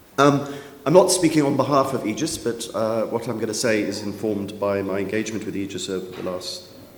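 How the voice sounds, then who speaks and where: A man with a fairly low pitch talks at a fairly quick pace, with noticeable background noise and audible room echo. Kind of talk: panel presentation. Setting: conference room with audience, microphone. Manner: hesitant, many fillers.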